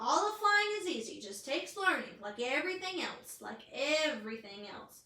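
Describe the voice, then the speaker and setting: Using a put-on character voice, a woman projects a raised, high-pitched voice at a moderate pace with very wide pitch swings and a slight echo. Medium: read story. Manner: casual, plain-spoken.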